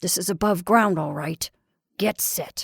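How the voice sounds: In a put-on character voice, a woman growls at a fairly slow pace with a medium pitch.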